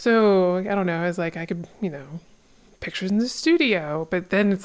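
A plain, everyday voice from a woman at medium pitch, with ordinary pitch variation. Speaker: podcast co-host. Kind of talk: casual chat.

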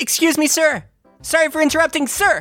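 A squeaky, high-pitched put-on character voice moves at a fairly quick pace over faint background music.

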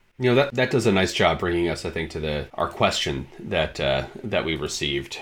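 A man with a very deep, low pitch and vocal fry talks at a fairly quick pace, his voice making very wide pitch swings. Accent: American. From Michigan. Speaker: digital director, podcast co-host. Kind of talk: casual educational conversation. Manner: halting, many fillers and repetitions.

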